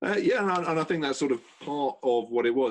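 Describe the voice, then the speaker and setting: A man with a British accent. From UK. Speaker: energy consultant. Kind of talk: casual chat.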